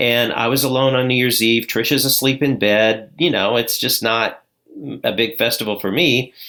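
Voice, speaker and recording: At a moderate pace and medium pitch, a man speaks in a normal speaking voice with fairly even intonation and very even loudness. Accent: American. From southern Indiana. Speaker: addiction recovery coach. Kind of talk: interview, personal testimony.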